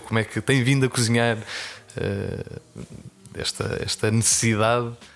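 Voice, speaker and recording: Noticeable background noise sits behind the voice. A man speaks at a fairly slow pace and a medium pitch. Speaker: podcast host, beer communicator. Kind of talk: casual interview. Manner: hesitant, frequent word repetitions.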